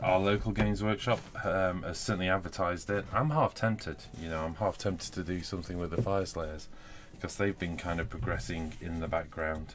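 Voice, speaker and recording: Talking at a fairly quick pace, a man with a British accent has a very deep, low pitch and ordinary pitch variation. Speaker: wargaming hobby youtuber. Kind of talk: live stream hobby chat. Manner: fast; hesitant fillers.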